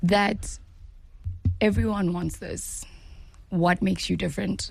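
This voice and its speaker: The speaker is a woman with a South African accent. She talks at a fairly slow pace. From South Africa, KwaZulu-Natal (Pietermaritzburg). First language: Zulu. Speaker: actress. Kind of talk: interview.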